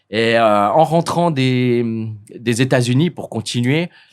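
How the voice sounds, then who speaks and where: A man speaks at a very slow pace and medium pitch with ordinary pitch variation. The recording is very clean, with a silent background. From French-speaking Switzerland, Lausanne. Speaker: hotel owner. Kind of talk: interview. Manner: halting, many repetitions.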